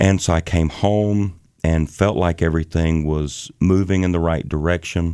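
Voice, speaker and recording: A man with a Southern US accent speaks at a moderate pace in a very deep, low pitch with a dark, mellow tone on a very clean recording with a silent background. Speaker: bass vocalist in a gospel quartet. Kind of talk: casual interview chat. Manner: animated.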